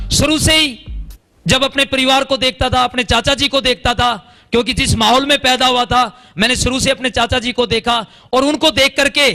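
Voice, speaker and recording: A man with an extremely high pitch uses a raised, projected voice with an animated tone and very even loudness. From Haryana, India. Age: 40s. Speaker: ex-army network marketer. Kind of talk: motivational stage testimony. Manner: animated, repetitive emphasis.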